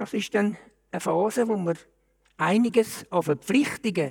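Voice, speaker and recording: Here a man with a Zurich accent speaks fairly slowly with lively intonation. The sound is dry and close, without echo. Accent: Zurich Swiss German. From Switzerland, Zurich. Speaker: retiree. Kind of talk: casual chat.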